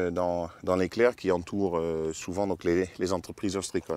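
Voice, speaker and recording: This man speaks at a moderate pace, his intonation fairly even. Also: very clean recording, silent background. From Netherlands. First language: Dutch (speaking French). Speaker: oyster farmer. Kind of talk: casual interview. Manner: halting, many hesitations.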